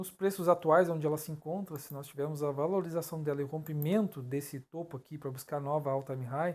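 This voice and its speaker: A man's fairly high-pitched voice at a fairly quick pace, with fairly even intonation, in a very clean recording with a silent background. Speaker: crypto analysis youtuber. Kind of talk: chart analysis tutorial. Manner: fast; halting, stumbles over words.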